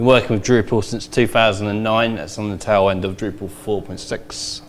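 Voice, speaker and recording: A man with a London accent speaks in a fairly low pitch. His intonation is fairly even, and there is an audible room echo. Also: moderate pace. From England, London. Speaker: conference speaker, web developer. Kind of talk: conference talk.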